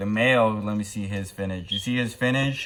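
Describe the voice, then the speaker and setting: With an unremarkable speaking voice, a man talks at a fairly slow pace in a fairly low pitch. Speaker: aquarium hobbyist vlogger. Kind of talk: casual video tutorial. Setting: home, early morning recording. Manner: casual, filler-heavy.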